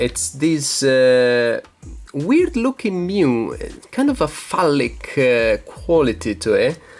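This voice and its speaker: Over music in the background, a man speaks very slowly in an Italian accent. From Italy. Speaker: YouTuber, card collector. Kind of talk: casual show-and-tell video. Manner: hesitant, many fillers.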